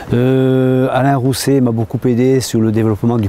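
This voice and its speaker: There is noticeable background noise as a man speaks at a medium pitch and a moderate pace. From French Basque Country. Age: 60s. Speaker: mayor. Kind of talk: interview testimony.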